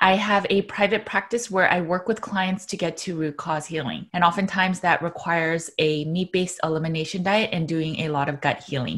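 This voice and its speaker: A woman at a fairly low pitch, fairly quick with hardly any pauses, with ordinary pitch variation. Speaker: nutritional therapy practitioner. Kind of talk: podcast intro to camera. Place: home room. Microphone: studio mic.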